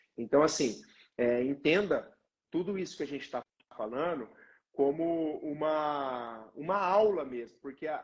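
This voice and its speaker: A man speaks at a fairly slow pace in a fairly high pitch. His pitch swings very widely. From Paraná, Brazil. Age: 20s. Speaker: physiotherapist. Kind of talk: live-stream interview.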